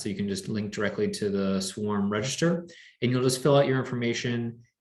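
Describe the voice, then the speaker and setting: Pitched fairly low, a man with an unremarkable speaking voice shows ordinary pitch variation. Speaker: beekeeping club organizer. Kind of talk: club meeting announcements.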